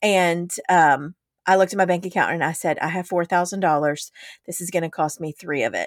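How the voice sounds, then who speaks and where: Her fairly low pitch and fairly even intonation come through in an unremarkable speaking voice as a woman is recorded very cleanly, dry and close, with no echo and a silent background. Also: fairly quick pace. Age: 40s. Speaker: podcast co-host, business coach. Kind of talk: casual chat.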